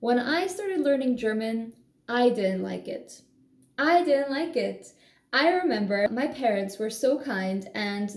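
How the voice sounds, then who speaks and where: With a Polish accent, a woman speaks at a moderate pace and with lively intonation against noticeable background noise. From Poland. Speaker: language-learning vlogger. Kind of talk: casual vlog monologue. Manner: animated.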